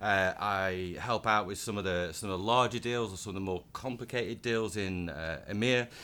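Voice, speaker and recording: A man's fairly low voice with a northern English accent, bright and sharp in tone, at a moderate pace with fairly even intonation. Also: very clean recording, silent background. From northern England, Blackburn. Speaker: tech company engineer. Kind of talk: casual interview chat. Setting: conference venue.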